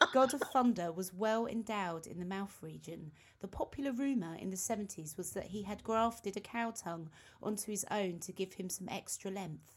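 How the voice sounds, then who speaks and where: A woman's somewhat breathy voice with a British accent, medium in pitch, at a moderate pace with ordinary pitch variation. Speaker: podcast co-host, band member. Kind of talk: casual chat. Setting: video call.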